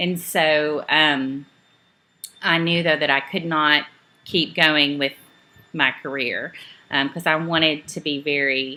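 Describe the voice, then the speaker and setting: A woman with a Southern US accent speaks in a very deep, low voice at a very slow pace, her intonation flat and monotone, with long, frequent pauses. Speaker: network marketing trainer. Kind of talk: training talk. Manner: casual, many filler ums.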